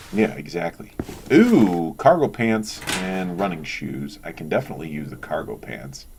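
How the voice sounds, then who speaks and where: The voice has lively intonation and big swings in loudness, with noticeable background noise behind it. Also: man, very deep, low pitch for a man, moderate pace. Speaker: gaming video creator. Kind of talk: let's play commentary. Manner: casual, hesitant with many fillers.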